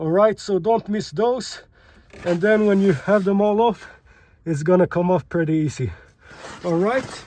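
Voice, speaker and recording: A man with a high pitch speaks at a fairly slow pace and ordinary pitch variation. Long, frequent pauses break up his speech. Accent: non-native. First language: not English. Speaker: car repair video maker, amateur. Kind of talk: tutorial. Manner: casual, with fillers and hesitations.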